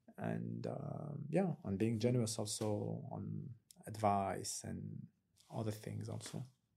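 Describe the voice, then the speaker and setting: A man talks with a French accent. His pace is fairly slow. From France, Algerian heritage. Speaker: creative entrepreneur. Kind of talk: casual chat. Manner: halting.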